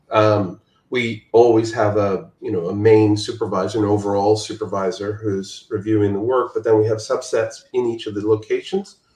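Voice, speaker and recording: Somewhat breathy and monotone, a man's flat delivery comes through with audible room echo. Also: fairly low pitch for a man, moderate pace, hardly any pauses. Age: 60s. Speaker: visual effects supervisor. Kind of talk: casual interview. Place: home room. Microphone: video call.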